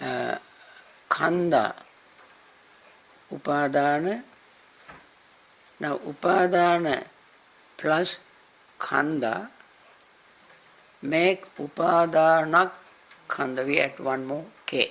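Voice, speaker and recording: With a Sri Lankan accent, a man speaks at a very slow pace and a fairly high pitch, using ordinary pitch variation and long, frequent pauses. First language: Sinhala. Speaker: Buddhist monk and teacher; monk teacher. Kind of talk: dharma class lecture; lecture. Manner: halting, repeats and restarts words. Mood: warm, smiling. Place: classroom.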